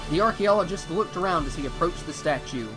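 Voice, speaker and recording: A man's voice with lively intonation over music in the background. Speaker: voice actor. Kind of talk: dramatic story narration.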